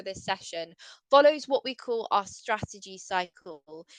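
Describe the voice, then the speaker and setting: A woman speaks in an English accent with fairly high pitch and lively intonation. The sound is dry and close with no echo, over a quiet background. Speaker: sustainability consultant. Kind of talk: webinar presentation. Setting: video call.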